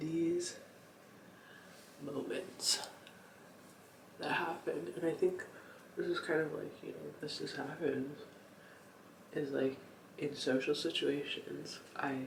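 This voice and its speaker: This man talks at a very slow pace, leaving long, frequent pauses. Noticeable background noise and audible room echo fill the recording. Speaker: lifestyle vlogger. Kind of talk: casual late-night vlog monologue. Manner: halting, many fillers; whispering.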